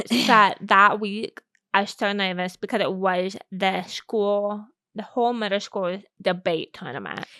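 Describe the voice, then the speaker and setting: The recording is very clean, with a silent background. A woman with a medium pitch and a bright, sharp tone talks at a fairly slow pace with fairly even intonation. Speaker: podcast co-host. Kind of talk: casual chat.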